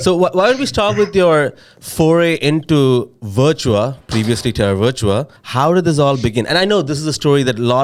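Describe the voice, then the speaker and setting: On a very clean recording with a silent background, a man talks at a moderate pace and a medium pitch, his pitch swinging very widely. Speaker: podcast co-host, head of product. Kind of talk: casual chat.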